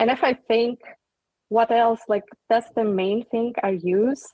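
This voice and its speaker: Fairly slow and with a non-native accent, a woman speaks with ordinary pitch variation. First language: not English. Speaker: company employee on panel. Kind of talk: casual panel discussion.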